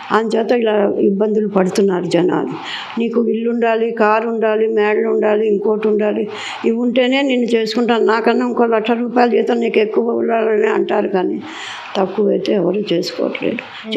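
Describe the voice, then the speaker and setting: Noticeable background noise sits behind a woman with a fairly high pitch. Her loudness is very even and her intonation fairly even. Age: 80s+. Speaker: interviewee. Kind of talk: interview answer.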